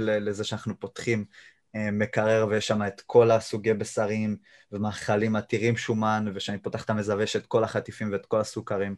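A man talks in a fairly low voice against a quiet background. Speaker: YouTuber and jiu-jitsu practitioner. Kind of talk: casual interview. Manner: monotone.

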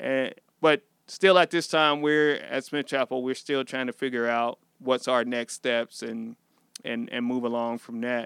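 In an ordinary speaking voice with an American accent, a man talks at a fairly slow pace and medium pitch, with ordinary pitch variation and a dry, close sound with no echo. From Missouri, US Midwest. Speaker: pastor. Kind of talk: casual chat.

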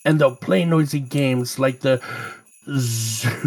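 The speaker reads in a natural reading voice, with ordinary pitch variation.

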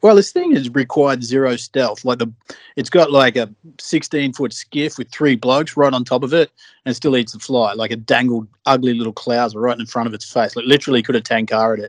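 Speaking at a fairly quick pace with an Australian accent, a man is heard in a dry, close sound without echo. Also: medium pitch for a man, fairly even intonation. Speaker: fishing podcast co-host. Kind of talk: casual chat.

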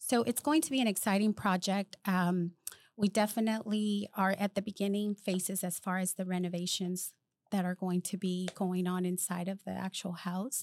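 In a Spanish accent, a woman speaks at a moderate pace with a medium pitch and fairly even intonation. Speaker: project manager. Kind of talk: casual chat.

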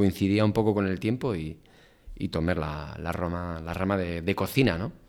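A man's very deep, low voice at a moderate pace, ordinary pitch variation, and a very clean recording over a silent background. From Basque Country, Spain (Oiartzun, Gipuzkoa). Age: 40s. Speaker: chef. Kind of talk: casual interview. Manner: halting, many fillers and repetitions.

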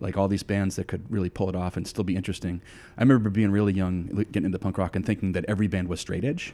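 A very fast American-accented man, very deep and low in pitch, with a dark, mellow tone and fairly even intonation, in a very clean recording with a silent background. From US Northeast, southern New Hampshire. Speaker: hardcore band vocalist. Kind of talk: casual interview. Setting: at the guest's home.

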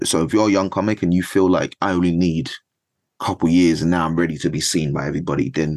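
A man talks at a fairly quick pace. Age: 20s. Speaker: stand-up comedian. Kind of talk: casual chat.

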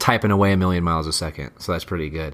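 A very fast pace with ordinary pitch variation. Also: man. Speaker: podcast host. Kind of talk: casual podcast chat. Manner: casual, chatty.

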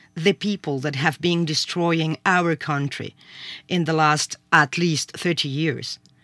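A woman's fairly low-pitched voice at a very slow pace, dry and close with no echo, on a very clean recording with a silent background. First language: Spanish. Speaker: sociology professor. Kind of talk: discussion. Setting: studio. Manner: halting.

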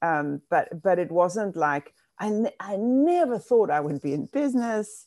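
Very wide pitch swings mark a dark, mellow voice at a moderate pace. The sound is dry and close with no echo, against a quiet background. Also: woman. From South Africa. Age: 60s. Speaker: business executive and B Corp ambassador. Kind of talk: casual interview.

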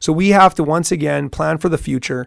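A man at a fairly quick pace, ordinary pitch variation, in a dry, close sound with no echo. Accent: Canadian Prairie. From Saskatchewan, Canada. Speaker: mayoral candidate and business owner. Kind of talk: radio interview. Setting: radio studio.

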